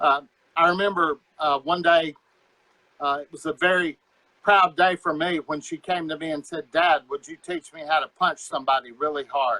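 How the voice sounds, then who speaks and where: With an American accent, a man speaks at a moderate pace in a fairly high pitch, his tone bright and sharp, his intonation fairly even, and the sound dry and close with no echo. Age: 60s. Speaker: martial arts instructor. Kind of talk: casual chat.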